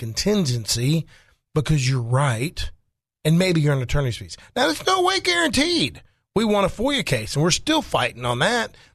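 A man with an Arkansas accent speaks at a fairly high pitch with very wide pitch swings. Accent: Southern US (Arkansas). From Arkansas, Faulkner County. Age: 50s. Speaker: attorney. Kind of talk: casual talk radio discussion. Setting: radio studio.

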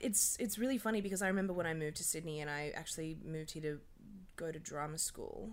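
A woman with an Australian accent speaks at a very fast pace in a fairly low pitch with ordinary pitch variation, and audible room echo is present. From Australia, Dubbo, New South Wales. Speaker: casting director. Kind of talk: casual interview.

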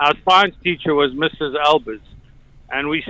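The speaker talks with a South African accent and ordinary pitch variation. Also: man. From born in South Africa to Slovak parents. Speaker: radio caller. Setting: phone.

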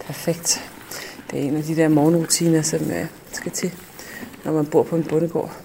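Noticeable background noise sits under a woman speaking at a fairly slow pace. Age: 40s. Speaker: island resident, office worker. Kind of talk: self-recorded audio diary.

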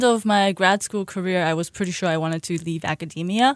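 A woman with an American accent and a plain, everyday voice speaks at a moderate pace, her medium pitch showing ordinary pitch variation on a very clean recording with a silent background. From Shanghai, China, then Buffalo, New York. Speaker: children's book author and Chinese school director. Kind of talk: radio interview. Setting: radio studio.

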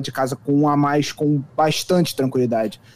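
A man talks with a dark, mellow tone. His pitch is fairly high. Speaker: sports reporter. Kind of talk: casual sports discussion.

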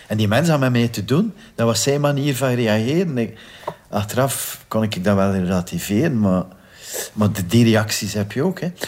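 Speaking with a Flemish accent, a man keeps a moderate pace and a medium pitch with ordinary variation. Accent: Flemish Dutch. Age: 50s. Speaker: victim's brother. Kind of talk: testimony.

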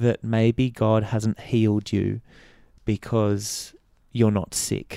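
A very slow man's voice at medium pitch, dark and mellow in tone, with fairly even intonation. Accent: Australian. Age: 30s. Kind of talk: personal testimony in interview.

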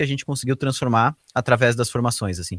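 There is no echo; the sound is dry and close. A man's voice sits at a medium pitch. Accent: Santa Catarina. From Santa Catarina, Brazil (Rio do Sul). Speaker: tech company CTO. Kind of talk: interview. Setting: remote podcast recording at night.

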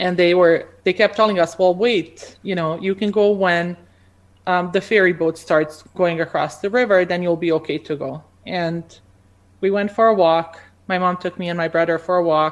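A woman speaks in a Bosnian accent at a fairly low pitch. Her intonation is fairly even over a quiet background. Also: moderate pace. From Bosnia and Croatia. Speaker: pharmacy academic. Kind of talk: interview. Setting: video call.

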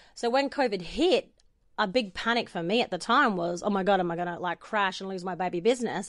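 With an Australian accent, a woman speaks at a fairly quick pace in an energetic tone, her pitch medium with ordinary variation over a quiet background. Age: 40s. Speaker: boutique owner and photographer. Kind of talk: interview.

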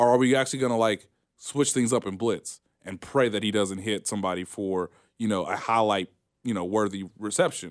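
With a plain, everyday voice, a man talks at a fairly quick pace and ordinary pitch variation. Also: fairly low pitch for a man. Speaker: sports journalist. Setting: live radio studio. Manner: conversational, thoughtful, hedging with ums and laughs.

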